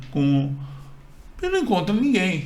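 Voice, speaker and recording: A man talks in a high voice. Audible room echo and noticeable background noise surround him. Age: 60s. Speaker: channel co-host. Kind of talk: personal storytelling. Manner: halting, with repetitions.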